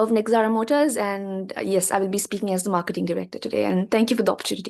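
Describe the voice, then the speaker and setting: A woman speaks with a non-native accent. Her pitch is fairly high, and the background is quiet. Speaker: business student, mock marketing director. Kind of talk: self-introduction.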